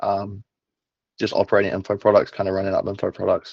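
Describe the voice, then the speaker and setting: A man with a New Zealand accent talks at a very fast pace, the sound dry and close with no echo and the background quiet. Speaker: online business operator, client. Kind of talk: client testimonial interview.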